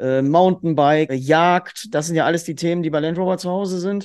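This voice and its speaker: A man talks in an ordinary speaking voice. His pitch sits fairly high, with ordinary variation. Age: 40s. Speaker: hunting dog trainer. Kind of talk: interview.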